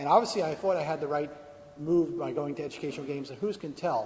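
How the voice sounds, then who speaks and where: Someone speaks at a very fast pace with ordinary pitch variation, and room echo is audible. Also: man. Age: 60s. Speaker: video game industry veteran giving a talk. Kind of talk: conference talk; audience Q&A answer.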